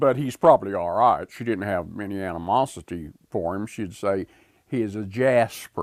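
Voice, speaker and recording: A man with an Appalachian accent and a fairly low voice talks at a fairly slow pace with lively intonation, recorded very cleanly against a silent background. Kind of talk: interview answer.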